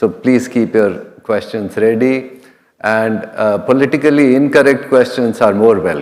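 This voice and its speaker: A man speaks at a medium pitch with an Indian accent. His pace is fairly slow, and his pitch varies in an ordinary way. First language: an Indian regional language, then Hindi. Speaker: food safety executive. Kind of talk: conference keynote. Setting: stage with audience. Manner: conversational.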